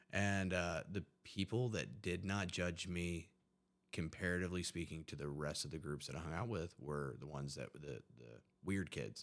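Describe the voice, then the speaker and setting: With an American accent, a man talks at a moderate pace. His pitch is very deep and low, with vocal fry. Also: ordinary pitch variation. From West Virginia, Huntington. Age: 30s. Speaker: army veteran in addiction recovery. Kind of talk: casual interview, personal testimony.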